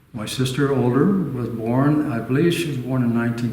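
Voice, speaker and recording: At a moderate pace, a man with an American accent speaks with ordinary pitch variation, heard over noticeable background noise and audible room echo. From Southern California (Orange County). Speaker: retired architect. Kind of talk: oral history interview. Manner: halting, many fillers.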